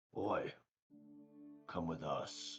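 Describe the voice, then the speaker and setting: A raspy, put-on character voice from a man, with faint music in the background. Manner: gruff, commanding.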